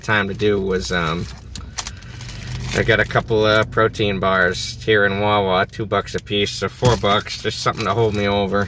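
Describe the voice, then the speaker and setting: A man with an American accent at a fairly quick pace, fairly even intonation, noticeable background noise behind him. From US Northeast (New England). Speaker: travel vlogger. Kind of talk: casual vlog to camera. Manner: fast.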